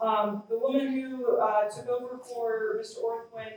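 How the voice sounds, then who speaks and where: An unremarkable speaking voice, with ordinary pitch variation. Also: woman. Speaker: fire science program leader. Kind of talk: ceremony speech.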